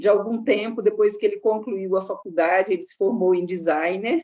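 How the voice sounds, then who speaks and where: Speaking at a moderate pace, a woman with a fairly high pitch and ordinary pitch variation has a plain, everyday voice. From Minas Gerais, Brazil. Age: 60s. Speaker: contact center employee. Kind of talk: interview.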